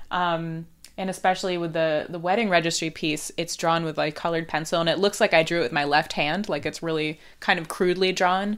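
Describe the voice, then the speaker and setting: Fairly low in pitch, a woman speaks at a fairly quick pace with fairly even intonation. The recording is very clean, with a silent background. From Northern California, Palo Alto. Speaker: artist and cartoonist. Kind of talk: casual interview. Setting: at guest's home with dog.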